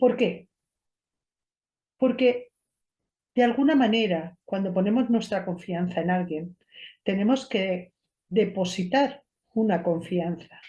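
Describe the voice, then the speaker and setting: Very slow speech with long, frequent pauses, ordinary pitch variation, a dark, mellow tone and a somewhat breathy quality. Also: woman, medium pitch for a woman. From Spain, Cuenca countryside. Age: 50s. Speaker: esoteric therapist and show host. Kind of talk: personal monologue to camera.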